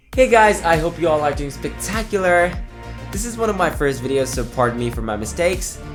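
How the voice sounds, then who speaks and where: Music can be heard in the background. A man speaks fairly quickly over it. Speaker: comics video narrator. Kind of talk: comic origin story narration.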